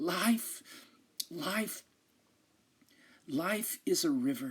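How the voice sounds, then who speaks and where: This put-on character voice sounds strained, sitting at a fairly high pitch with very wide pitch swings. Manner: weak, strained.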